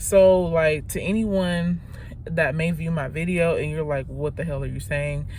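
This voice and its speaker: Speaking at a fairly slow pace with fairly even intonation, a woman's fairly low voice carries audible room echo. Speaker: vlogger. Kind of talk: casual vlog monologue. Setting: in a car. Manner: halting, self-correcting.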